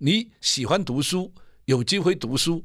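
A fairly high-pitched man at a fairly slow pace, with vocal fry, on a very clean recording with a silent background. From Vietnam. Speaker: music producer and songwriter. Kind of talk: interview. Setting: studio.

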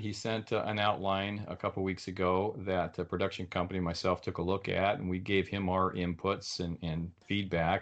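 This man has a very deep, low pitch. He talks at a moderate pace. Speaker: author and web developer. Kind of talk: interview. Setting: video call.

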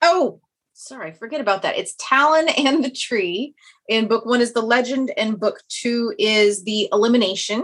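With a Kansas accent, a woman speaks at a moderate pace in a high voice with lively intonation. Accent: Kansas twang, mild Midwestern. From Kansas, US. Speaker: fantasy author. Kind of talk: interview chat.

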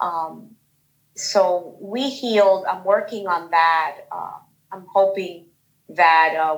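With a Bronx accent, a woman speaks with ordinary pitch variation. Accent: New York, Bronx. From New York, the Bronx. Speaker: guest, self-love group member. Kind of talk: personal testimony. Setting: video call.

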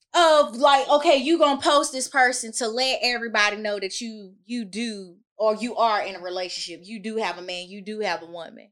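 A woman's normal speaking voice, fairly high in pitch and fairly quick, with lively intonation and big swings in loudness. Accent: American. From US South, Georgia (Augusta). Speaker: podcast guest. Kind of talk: casual chat.

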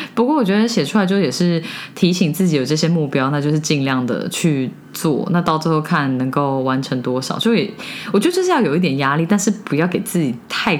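With a very deep, low pitch, a woman speaks with lively intonation and very even loudness, amid audible room echo and noticeable background noise. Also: fairly quick pace. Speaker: podcast co-host. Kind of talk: casual chat.

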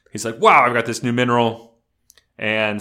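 A man talks in a bright, sharp tone. The recording is very clean, with a silent background. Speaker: podcast co-host.

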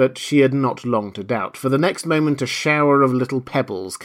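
The reading voice is natural. Its intonation is fairly even.

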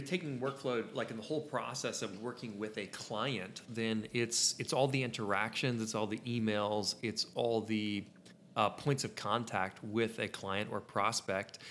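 A plain, everyday voice, fairly slow, with ordinary pitch variation. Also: man. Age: 20s. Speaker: photography podcast co-host. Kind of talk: tutorial; casual chat.

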